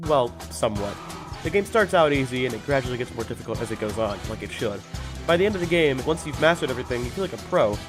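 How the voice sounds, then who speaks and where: With music in the background, the voice races along at a very fast pace through very wide pitch swings. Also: man, medium pitch for a man. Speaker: game reviewer. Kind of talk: video game review narration.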